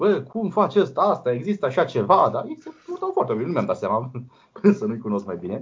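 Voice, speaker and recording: Racing at a very fast pace, a man's somewhat breathy voice swings very widely in pitch. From Romania, Brăila. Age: 20s. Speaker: blind software developer. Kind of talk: interview.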